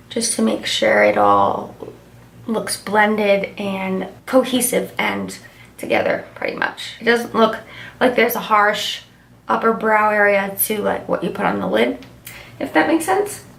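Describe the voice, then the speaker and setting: A woman speaks fairly slowly, with background noise noticeable and room echo audible. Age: 20s. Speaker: beauty youtuber. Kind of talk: makeup tutorial. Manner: casual, chatty.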